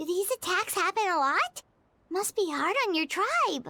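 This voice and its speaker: This is a put-on character voice. Its pitch is extremely high. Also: moderate pace. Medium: video game.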